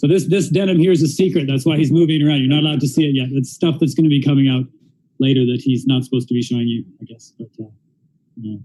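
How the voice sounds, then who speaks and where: A man with a Canadian accent talks at a very fast pace in a fairly high, somewhat breathy voice, with ordinary pitch variation and big swings in loudness. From Canada. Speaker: interviewer and interpreter. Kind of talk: live-streamed interview with interpreting. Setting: live stream in a store. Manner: casual, animated.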